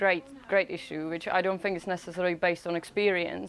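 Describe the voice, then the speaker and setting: A woman's fairly low-pitched voice with a Czech accent. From Czech Republic. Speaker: interviewee, immigrant. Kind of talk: news interview. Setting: remote link from Cardiff.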